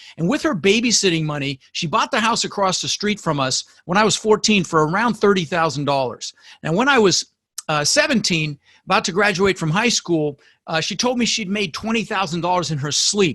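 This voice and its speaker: An animated, raised and projected male voice, bright and sharp in tone, with very wide pitch swings, a fairly quick pace, and a dry, close sound with no echo. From Denver, Colorado (US), born in the Netherlands. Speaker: real estate investor. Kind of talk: podcast interview. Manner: animated, with frequent word repetitions.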